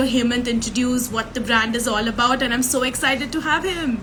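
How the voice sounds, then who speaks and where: A woman talks with a high pitch at a moderate pace. There is audible room echo and noticeable background noise. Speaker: podcast host. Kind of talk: interview.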